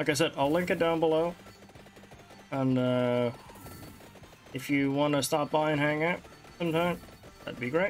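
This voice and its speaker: Music plays in the background at a moderate pace of speech. Long, frequent pauses break up the talking. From Netherlands. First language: Dutch. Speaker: gaming streamer. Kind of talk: let's play commentary.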